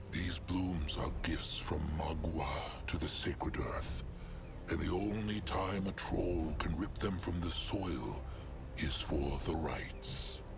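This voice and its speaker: Through loud background noise, a man puts on a character voice with a very deep, low pitch, speaking at a fairly slow pace. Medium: machinima. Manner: formal, speaks in third person.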